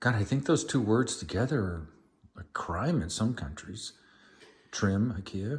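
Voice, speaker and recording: With lively intonation and long, frequent pauses, a man speaks at a fairly low pitch in a somewhat breathy voice. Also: fairly slow pace, very clean recording, silent background. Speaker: homeowner vlogger. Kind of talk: casual chat. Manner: lowered voice at times.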